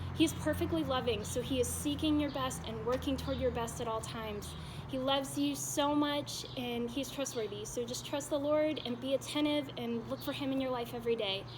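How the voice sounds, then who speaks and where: There is noticeable background noise as a woman speaks at a fairly quick pace with hardly any pauses. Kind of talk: personal faith testimony to camera. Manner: soft-spoken, gentle.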